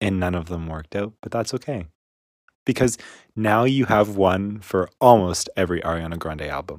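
A man with a normal speaking voice talks at a moderate pace, his pitch fairly low and its variation ordinary. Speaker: podcast co-host. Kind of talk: casual chat.

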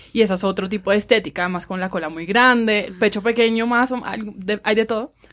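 A woman at a very fast pace, fairly high in pitch, with fairly even intonation and big swings in loudness. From Colombian Caribbean coast, Cartagena. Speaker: podcast host. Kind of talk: casual chat.

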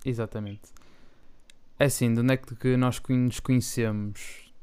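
Monotone, flat delivery from a man with a medium-pitched voice. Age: 20s. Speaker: podcast co-host, medical student. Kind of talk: casual chat.

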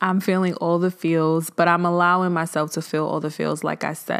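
A woman in a monotone, flat intonation, in a very clean recording with a silent background. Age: 20s. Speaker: podcast host. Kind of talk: casual solo monologue on mental health. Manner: conversational, filler-heavy.

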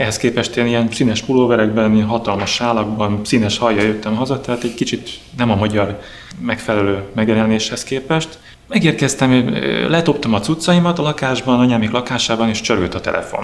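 A man with a medium pitch and ordinary pitch movement talks fairly fast as noticeable noise carries on behind him. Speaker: drummer. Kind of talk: interview storytelling. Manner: halting.

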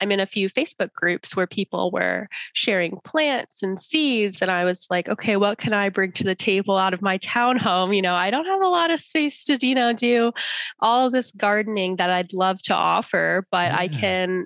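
In an unremarkable speaking voice, a woman talks at a moderate pace and medium pitch with lively intonation and very even loudness, the sound dry and close with no echo. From Arizona, US (Tucson, Chandler, Tempe). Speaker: nonprofit founder. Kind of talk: interview.

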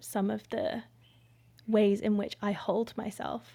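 A woman with a fairly high pitch speaks very slowly in a somewhat breathy voice. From Indonesia, British-Indonesian family. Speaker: breathworker and embodiment facilitator. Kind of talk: interview conversation. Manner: slow, measured with frequent fillers.

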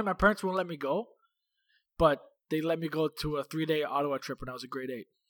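A man with a Canadian accent at a fairly high pitch, with ordinary pitch variation and big swings in loudness, in a very clean, dry, close recording with a silent background and no echo. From Toronto, Canada. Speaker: podcast co-host. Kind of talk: casual chat.

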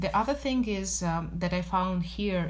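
With audible room echo and noticeable background noise, a woman speaks at a fairly slow pace. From Russia, Moscow. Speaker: business development executive. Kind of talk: interview.

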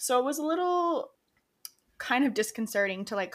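An ordinary speaking voice with an American accent, moving at a moderate pace with ordinary pitch variation. The recording is very clean, with a silent background. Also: woman. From Rochester, New York, US. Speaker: podcast co-host. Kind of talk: casual chat.

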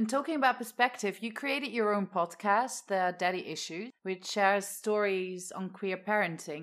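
A woman speaks at medium pitch and a moderate pace. She has an ordinary speaking voice with ordinary pitch variation. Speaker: podcast co-host and theatre director. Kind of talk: podcast hosting and casual chat.

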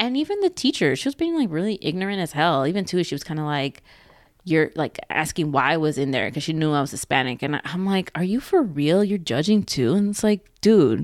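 With an American accent and a fairly low pitch, a woman talks at a fairly quick pace with lively intonation, recorded very cleanly against a silent background. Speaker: podcast co-host. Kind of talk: casual chat. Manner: casual, chatty.

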